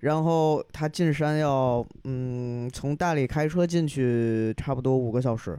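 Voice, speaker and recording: Speaking at a very slow pace, a man with a dark, mellow tone holds a medium pitch and ordinary pitch variation. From Yunnan, China. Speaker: podcast listener guest, silver craftsman. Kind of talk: casual chat. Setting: recording at host's home.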